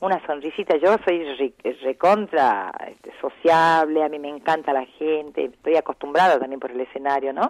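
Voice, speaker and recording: A woman with a northwestern Argentine accent speaks at a moderate pace in a very deep, low voice, with ordinary pitch variation and big swings in loudness, the sound dry and close with no echo. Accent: northwestern Argentine (Salta). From Salta, northern Argentina. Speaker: folk singer and restaurant owner. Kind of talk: interview. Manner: calm.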